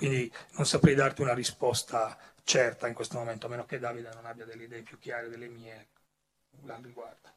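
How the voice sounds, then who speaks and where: A somewhat breathy man at a medium pitch, with monotone, flat intonation, big swings in loudness and a fairly quick pace. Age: old. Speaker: comics writer. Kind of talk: panel talk. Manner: halting.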